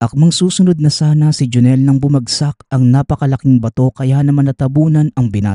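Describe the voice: In plain reading aloud, the intonation remains fairly even.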